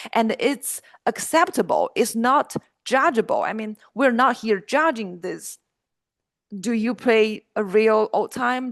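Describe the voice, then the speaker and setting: Speaking with a Chinese accent at a fairly slow pace, the voice has ordinary pitch variation and a dry, close sound with no echo over a quiet background. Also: woman. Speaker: musician. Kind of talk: interview.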